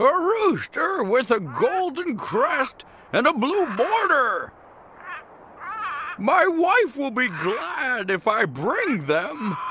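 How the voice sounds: At a very slow pace, a cartoonish character voice sits at a high pitch and makes very wide pitch swings.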